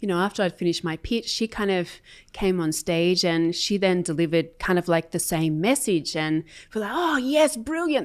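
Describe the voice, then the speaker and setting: Speaking at a moderate pace with lively intonation, a woman with an Australian accent comes through on a very clean recording over a silent background. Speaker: corporate sales enablement leader. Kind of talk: interview.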